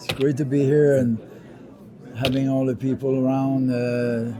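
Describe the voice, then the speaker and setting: A man with a French Canadian accent speaks at a fairly slow pace in a medium pitch with monotone, flat intonation, amid noticeable background noise and audible room echo. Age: 70s. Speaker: retired pro wrestler. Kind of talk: interview. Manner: halting, many fillers.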